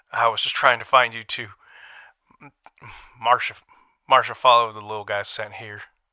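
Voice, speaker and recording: Using a put-on character voice with a nervous tone, a man speaks raspy and monotone, with flat intonation, at medium pitch and a moderate pace, with long, frequent pauses. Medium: audio drama. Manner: nervous, stammering.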